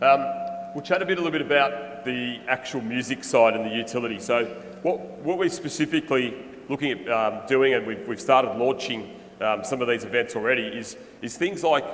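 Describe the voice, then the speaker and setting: With an Australian accent, the speaker talks fairly quickly with ordinary pitch variation, amid noticeable background noise and audible room echo. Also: man, medium pitch for a man. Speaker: music NFT project founder. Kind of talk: conference presentation.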